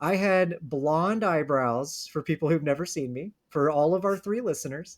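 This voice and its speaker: An unremarkable speaking voice from a man, fairly high in pitch with ordinary variation, at a fairly slow pace on a very clean recording with a silent background. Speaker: podcast host. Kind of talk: casual chat.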